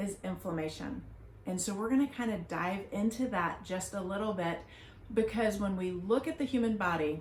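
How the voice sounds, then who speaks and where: Speaking at a moderate pace, a woman uses ordinary pitch variation while audible room echo fills the space. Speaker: family doctor. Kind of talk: educational talk. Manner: animated.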